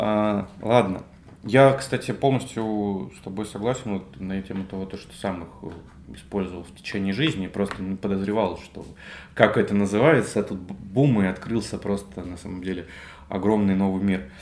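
A man speaks at a moderate pace with fairly low pitch and ordinary pitch variation. His loudness swings widely, in a plain, everyday voice. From Russia, Belgorod. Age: 20s. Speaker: podcast co-host, digital marketer. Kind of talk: casual chat.

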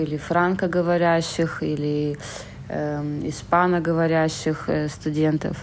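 Slow, very slow, is this woman's pace. Her pitch is fairly low. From Saint Petersburg, Russia. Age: 30s. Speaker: emigrant. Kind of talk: casual chat.

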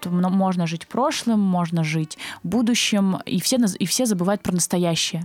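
At a moderate pace and medium pitch, a woman speaks with ordinary pitch variation in a dry, close sound with no echo, though noticeable background noise is present. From southern Russia, Krasnodar Krai. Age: 20s. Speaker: agency co-founder. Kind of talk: interview.

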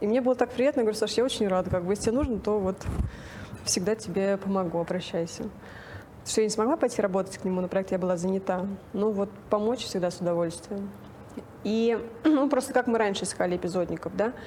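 Over noticeable background noise, a woman speaks at a very fast pace with long, frequent pauses, medium pitch, and ordinary pitch variation. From Russia, Nizhny Novgorod. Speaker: casting director. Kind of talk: interview.

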